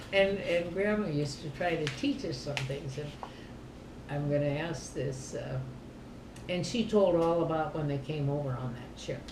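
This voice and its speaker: A woman talks at a moderate pace with a very deep, low pitch and ordinary pitch variation. Noticeable background noise and audible room echo are present. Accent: American. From southern Minnesota. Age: 80s+. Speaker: family elder. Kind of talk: casual chat.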